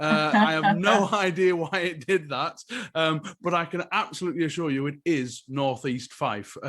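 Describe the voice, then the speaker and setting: Against noticeable background noise, a man with a high voice speaks at a moderate pace with ordinary pitch variation. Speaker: podcast host. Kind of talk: live panel discussion. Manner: casual, many fillers.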